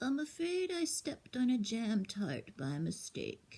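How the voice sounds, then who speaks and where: Using a put-on character voice, a woman speaks in a high pitch. Her pace is fairly slow. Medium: read story. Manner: polite, earnest.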